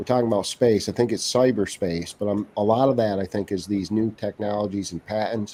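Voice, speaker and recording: A man with a New England accent, his dark, mellow tone set at a fairly low pitch, fairly even intonation and a fairly quick pace. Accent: Yankee (New England). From Vermont (Bennington). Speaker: gubernatorial candidate. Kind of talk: casual interview.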